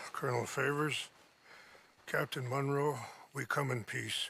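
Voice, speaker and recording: In a raspy put-on character voice, a man speaks at a fairly high pitch and a moderate pace with monotone, flat intonation. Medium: video game. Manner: calm, measured.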